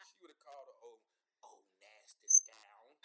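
A raspy, put-on character voice in a Southern accent at a moderate pace.

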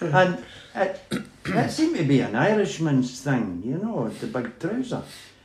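Over noticeable background noise, the voice moves at a fairly slow pace with very wide pitch swings. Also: man, high pitch for a man. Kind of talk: elder life story. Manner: rambling, anecdotal storyteller; chuckling, easygoing, with a Scottish lilt.

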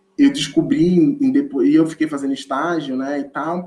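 A man speaks with a dark, mellow tone and fairly high pitch. His pitch swings very widely. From Olinda, Pernambuco, northeast Brazil. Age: 20s. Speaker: educator. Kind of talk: podcast interview.

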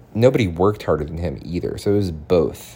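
A man speaks with an American accent. Vocal fry runs through his voice. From Boston. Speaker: podcast host. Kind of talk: casual monologue. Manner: rambling with frequent fillers.

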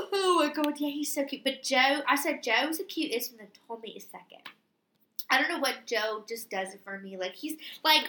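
Projecting a raised voice, a woman speaks at a moderate pace with lively intonation and a high pitch. Her loudness swings widely. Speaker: podcast co-host. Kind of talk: casual chat. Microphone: computer mic, distorted.

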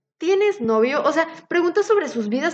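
The voice moves at a moderate pace, its pitch swinging very widely up and down. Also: woman. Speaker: biotechnology student podcast co-host. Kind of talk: casual chat.

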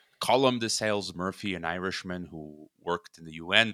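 Very deep and low in pitch with ordinary variation, a man's voice has a bright, sharp tone and a dry, close sound with no echo. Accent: Chicago. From US Midwest, Chicago, Croatian immigrant parents. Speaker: podcast host and geopolitics commentator. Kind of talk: casual interview. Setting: remote call.

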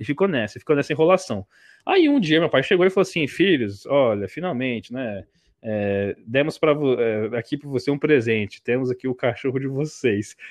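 At a moderate pace, a man talks in a normal speaking voice at medium pitch. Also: lively intonation. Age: 20s. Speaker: sports journalist. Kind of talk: casual interview chat.

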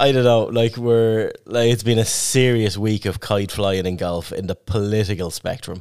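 With an Irish accent, a man talks at a moderate pace and a fairly low pitch, with fairly even intonation and hardly any pauses. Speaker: podcast host. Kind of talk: casual chat.

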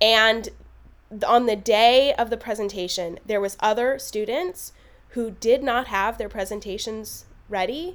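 A woman with an ordinary speaking voice talks at a fairly slow pace and a fairly high pitch with ordinary pitch variation, in a very clean recording with a silent background. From US West Coast (Los Angeles). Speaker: actor and film producer. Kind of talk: interview conversation.

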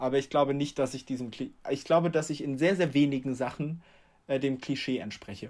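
In a very clean recording with a silent background, a man with a normal speaking voice talks at a fairly quick pace, his pitch fairly high and his intonation fairly even. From Germany. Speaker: podcast co-host. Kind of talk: casual chat.

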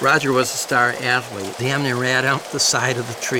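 Reading in an unforced voice.

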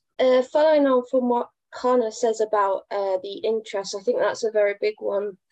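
A woman talks at a moderate pace in a high pitch with ordinary pitch variation. The sound is dry and close, with no echo.

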